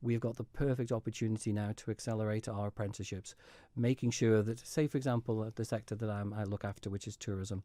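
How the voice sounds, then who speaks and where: Very fast and monotone, a man speaks with flat intonation. His fairly low voice has a dark, mellow tone. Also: very clean recording, silent background. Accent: Manx. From Isle of Man. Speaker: politician. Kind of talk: radio interview. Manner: halting.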